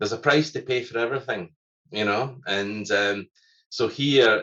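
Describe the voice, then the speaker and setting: A man's medium-pitched voice, bright and sharp in tone, with a Scottish accent. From Scotland. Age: middle-aged. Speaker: environmental scientist and musician. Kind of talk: casual chat. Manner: fast.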